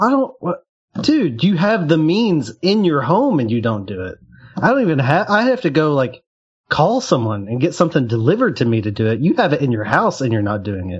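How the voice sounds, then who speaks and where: The voice is somewhat breathy and moves at a fairly quick pace. Its pitch swings very widely. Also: man, fairly high pitch for a man. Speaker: banking industry worker. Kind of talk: casual chat.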